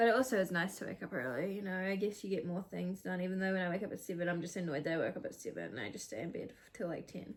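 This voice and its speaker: A woman with a New Zealand accent, very fast and with hardly any pauses, at a medium pitch with ordinary pitch variation. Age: 20s. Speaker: YouTuber. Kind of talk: casual chat. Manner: casual, chatty.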